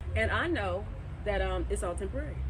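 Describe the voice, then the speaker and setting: Fairly quick speech from a woman amid noticeable background noise and audible room echo. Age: 50s. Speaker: singer and show host. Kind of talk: interview. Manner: animated.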